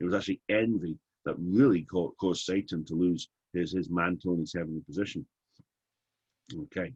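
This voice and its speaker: A man with an English accent and a very deep, low pitch speaks at a fairly quick pace with ordinary pitch variation, broken by long, frequent pauses. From England. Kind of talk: webinar teaching session. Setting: online webinar. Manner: animated.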